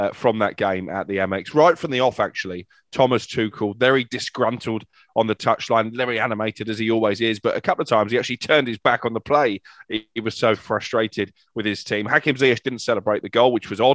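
Very fast speech from a man at medium pitch, with ordinary pitch variation and a dry, close sound with no echo. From Salford, northern England. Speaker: football journalist. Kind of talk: casual chat.

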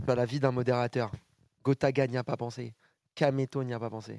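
The man speaks with a medium pitch and monotone, flat intonation. His pace is moderate. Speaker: esports show host. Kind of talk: casual live show hosting. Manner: informal, hesitant, many fillers.

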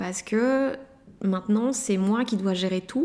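Her speech runs at a fairly slow pace, this woman keeping a medium pitch with ordinary pitch variation. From Belgium, Liège province. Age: 20s. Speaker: interviewee. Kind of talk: personal testimony. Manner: halting, many repetitions and fillers.

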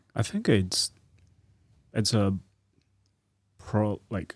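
The recording is dry and close, with no echo. A man with a fairly low pitch talks at a very slow pace, with long, frequent pauses. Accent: Chinese. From China. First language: Chinese. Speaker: postgraduate student. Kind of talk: casual chat. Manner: halting.

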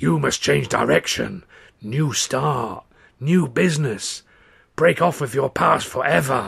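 A man puts on a raspy character voice at a medium pitch, speaking fairly slowly with very wide swings in pitch. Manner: mystical, trance-like.

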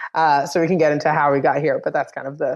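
Against a quiet background, a woman speaks at a very fast pace with an American accent. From New York City (the Bronx). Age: 30s. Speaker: beverage company co-founder. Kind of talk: interview.

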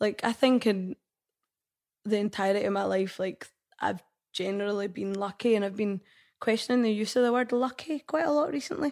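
Speech in a Lothian accent comes at a fairly quick pace, broken by long, frequent pauses and with ordinary pitch variation. The recording is very clean, the background silent. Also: woman, fairly high pitch for a woman. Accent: Scottish (Lothian). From Scotland, Bonnyrigg, Midlothian. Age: 40s. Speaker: head of marketing for a concert promoter. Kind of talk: casual chat.

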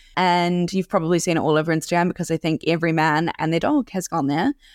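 A very fast pace in a dry, close sound with no echo, on a very clean recording with a silent background. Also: woman. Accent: New Zealand. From New Zealand (Auckland). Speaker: food podcast host. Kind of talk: casual recommendations monologue.

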